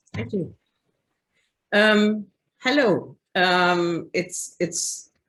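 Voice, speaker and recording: Very slowly, a woman speaks in a German accent. Her medium pitch rises and falls with lively intonation. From Germany. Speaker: publisher. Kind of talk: presentation. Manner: halting.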